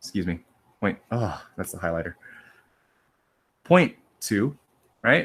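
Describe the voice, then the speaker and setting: A man talks with very wide pitch swings. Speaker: high school statistics teacher. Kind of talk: lecture. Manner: casual, repetitive explaining.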